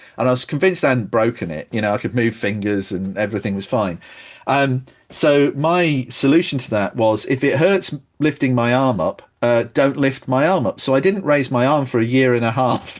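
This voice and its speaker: In a British accent, a man speaks at medium pitch and a moderate pace. His intonation is lively, and the background is quiet. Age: 50s. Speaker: accessibility designer. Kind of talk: casual chat.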